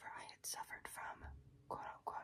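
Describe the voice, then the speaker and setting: Whispering at a moderate pace. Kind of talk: reading aloud.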